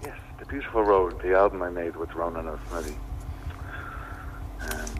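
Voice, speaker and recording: A man with an Irish accent, against noticeable background noise. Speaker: filmmaker and musician. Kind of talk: interview.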